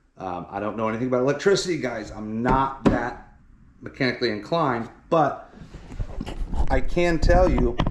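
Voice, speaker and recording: The man talks at a moderate pace. Audible room echo surrounds his voice. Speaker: car-dwelling vlogger. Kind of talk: casual product unboxing. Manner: casual, rambling with fillers.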